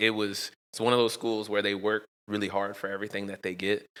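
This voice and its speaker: A man with a Southern US accent speaks in a monotone, flat delivery at a fairly low pitch with a bright, sharp tone, captured in a very clean recording with a silent background. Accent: Southern country inflection. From Florida, Daytona Beach. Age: 30s. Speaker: sports performance coach. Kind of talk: casual interview chat.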